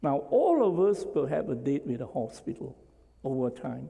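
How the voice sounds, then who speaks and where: The tone is dark and mellow. A man talks at a moderate speed. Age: 60s. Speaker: physician and stem cell researcher. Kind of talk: lecture. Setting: stage with audience.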